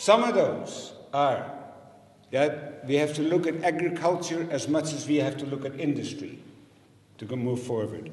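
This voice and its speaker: A man's fairly high-pitched voice at a moderate pace, with ordinary pitch variation, audible room echo and noticeable background noise. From Netherlands. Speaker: election candidate. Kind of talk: campaign speech at candidates debate. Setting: public meeting with audience.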